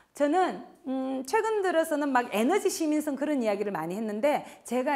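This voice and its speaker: A woman speaks at a fairly quick pace with very wide pitch swings. Noticeable background noise is present. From Gyeongsang province, South Korea. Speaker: professor. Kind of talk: lecture.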